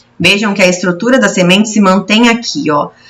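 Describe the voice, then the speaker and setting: A woman's plain, everyday voice at medium pitch with ordinary pitch variation. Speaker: schoolteacher. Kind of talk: lecture. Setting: recorded video lesson.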